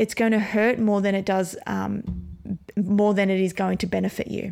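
Speaking at a moderate pace, a woman talks with an Australian accent. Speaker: podcast host and brain coach. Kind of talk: pep talk. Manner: urgent, motivational, direct address; repetitive, emphatic.

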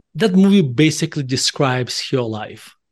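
In a Russian accent, a man talks at a fairly high pitch and a moderate pace. The background is quiet. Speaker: author and value investor. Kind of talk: casual interview.

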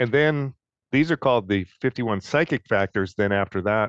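Delivered at a fairly quick pace with lively intonation, the speech has a dry, close sound with no echo over a quiet background. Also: man. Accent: Detroit. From US Midwest, Detroit. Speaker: co-host, meditation student. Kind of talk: casual chat.

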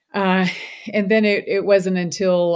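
A woman with an American accent at a moderate pace, in a very clean recording with a silent background. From Louisville, Kentucky, US. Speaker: physician. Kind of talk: interview.

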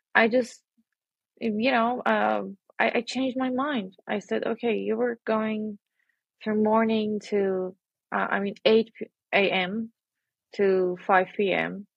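A woman speaks with an Iranian accent at a fairly high pitch. Her pace is very slow, with long, frequent pauses. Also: fairly even intonation. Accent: Iranian (Persian) English. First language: Persian. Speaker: interviewee sharing personal story. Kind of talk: personal testimony. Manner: halting.

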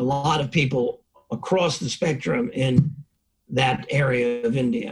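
This man has an American accent and a fairly high pitch. His voice is somewhat breathy. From New York (Bronx, Long Island). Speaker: professor. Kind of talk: interview.

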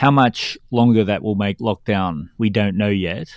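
In a very clean recording with a silent background, a man with an Australian accent speaks at a moderate pace and fairly low pitch, with ordinary pitch variation. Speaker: podcast co-host. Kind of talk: political commentary podcast.

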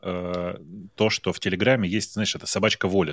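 A man talks at a moderate pace in a dry, close sound without echo. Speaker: tech podcaster. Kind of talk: casual chat.

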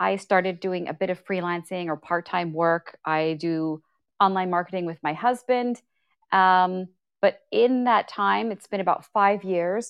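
A woman with a Canadian accent and a plain, everyday voice, medium in pitch, at a fairly slow pace. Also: ordinary pitch variation. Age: 30s. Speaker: online creator and coach. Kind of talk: casual chat. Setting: Clubhouse audio room.

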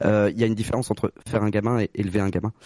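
A man speaks at a moderate pace with a fairly low pitch. His tone is dark and mellow, and the sound is dry and close with no echo. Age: 30s. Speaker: guest sharing vasectomy experience. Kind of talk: testimony.

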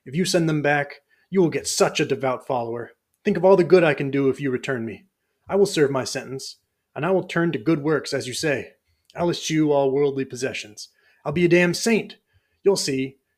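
A man with a plain, everyday voice speaks at a fairly quick pace, his fairly high pitch showing ordinary variation. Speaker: podcast host and fiction reader. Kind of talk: dramatic first-person fiction narration, read aloud from a written story. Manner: solemn, measured, brooding; intimate, reflective, building dread.

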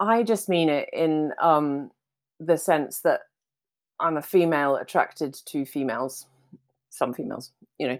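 Speaking at a fairly slow pace with long, frequent pauses, a woman uses a very deep, low pitch and ordinary pitch variation in a very clean recording with a silent background. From Scotland. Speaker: philosopher and author. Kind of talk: interview conversation.

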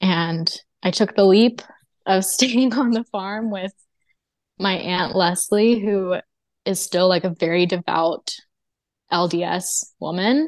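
Speaking very slowly with long, frequent pauses, a woman uses an American accent and a medium pitch. Her pitch varies in an ordinary way, and the sound is dry and close with no echo. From Texas, US South. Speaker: storyteller and musician. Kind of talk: personal testimony in interview.

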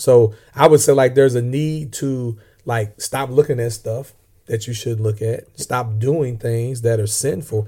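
Recorded very cleanly against a silent background, a man with an American accent speaks fairly slowly at a medium pitch, somewhat breathy and dark and mellow in tone, with fairly even intonation. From Southern Illinois, US. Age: 40s. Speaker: podcast co-host. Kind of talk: casual chat, faith discussion.

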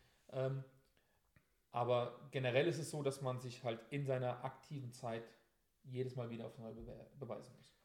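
The speaker has a moderate pace broken by long, frequent pauses, with big swings in loudness, a somewhat breathy sound, and monotone, flat intonation. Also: man, medium pitch for a man. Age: 30s. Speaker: soldier. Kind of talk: interview. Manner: hesitant, many filler sounds.

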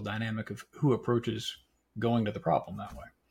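Speaking at a fairly quick pace, a man with an American accent uses a medium pitch and shows vocal fry. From South Carolina (Florence). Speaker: podcast host. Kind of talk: casual chat.

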